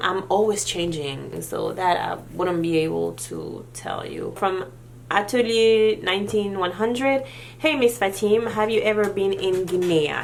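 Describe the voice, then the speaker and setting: A woman's medium-pitched voice with lively intonation and a fairly slow pace, in a room with audible echo. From Senegal. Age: 30s. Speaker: beauty vlogger. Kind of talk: Q&A vlog. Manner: casual.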